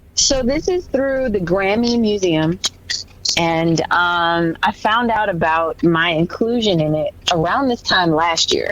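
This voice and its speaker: Speaking very slowly with an American accent, a woman uses lively intonation at very even loudness over noticeable background noise. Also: medium pitch for a woman. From US Midwest, St. Louis. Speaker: country singer. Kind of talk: casual chat. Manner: halting, many fillers.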